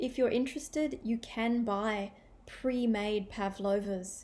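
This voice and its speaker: Speaking at a fairly slow pace in an Australian accent, a woman has a medium pitch and fairly even intonation. Her tone is dark and mellow, and somewhat breathy. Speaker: English teacher. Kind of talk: language-learning listening practice talk. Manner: clear, measured. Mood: friendly, cheerful. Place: home room. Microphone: webcam.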